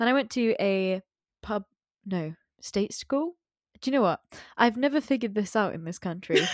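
A woman with an English accent, fairly high pitch and lively intonation at a moderate pace, with long, frequent pauses, in a very clean recording with a silent background and a dry, close sound with no echo. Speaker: podcast host, school student. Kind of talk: casual chat.

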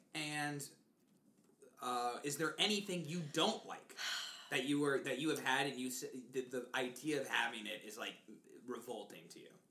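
The speech moves at a moderate pace with long, frequent pauses. Noticeable background noise can be heard. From US South. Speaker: podcast host. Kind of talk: casual chat.

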